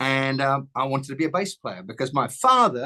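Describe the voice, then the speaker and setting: This speaker has an English accent and a bright, sharp tone, talking at a fairly quick pace with ordinary pitch variation over a dry, close sound with no echo. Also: man. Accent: English accent, still noticeable. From southern England, Southampton, Hampshire. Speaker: songwriter and bass player. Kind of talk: interview, telling life story. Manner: hesitant, many fillers.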